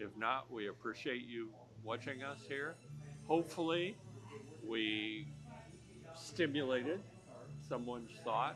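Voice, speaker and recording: Over music in the background, a man with medium pitch talks at a fairly slow pace with lively intonation and long, frequent pauses. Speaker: podcast co-host. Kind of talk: casual chat. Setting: in a bar. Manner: loud.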